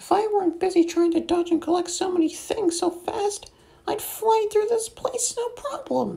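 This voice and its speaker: A squeaky, put-on character voice at an extremely high pitch and a moderate pace. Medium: read story.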